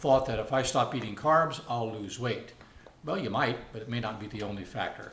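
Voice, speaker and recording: The voice shows ordinary pitch variation, set against audible room echo and noticeable background noise. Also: man. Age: 60s. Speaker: vlogger sharing personal experience. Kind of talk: casual talk to camera. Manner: halting, many fillers.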